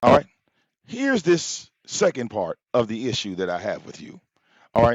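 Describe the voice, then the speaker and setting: This man's pitch swings very widely and his volume rises and falls sharply. He keeps a moderate pace. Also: medium pitch for a man. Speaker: YouTube commentary livestreamer. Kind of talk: heated livestream rant. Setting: live stream. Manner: animated.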